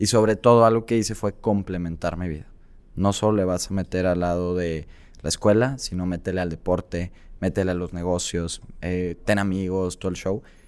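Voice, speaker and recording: At a moderate pace, a man talks at a very deep, low pitch with fairly even intonation. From Mexico, Tabasco. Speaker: entrepreneur and content creator. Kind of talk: interview.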